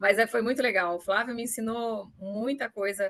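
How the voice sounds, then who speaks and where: Dry and close with no echo, the sound carries a woman's fairly high pitch. She has a plain, everyday voice and a moderate pace. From Brazil, São Paulo state interior (Pindamonhangaba). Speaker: supply chain manager. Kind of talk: interview.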